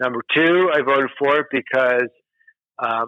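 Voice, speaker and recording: A man with a medium pitch talks in an American accent. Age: 50s. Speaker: state senator. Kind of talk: interview.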